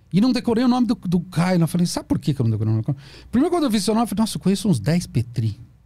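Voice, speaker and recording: A voice with a dark, mellow tone swings very widely in pitch over a quiet background. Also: man. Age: 50s. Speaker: psychoanalyst. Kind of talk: casual interview. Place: studio. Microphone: studio mic.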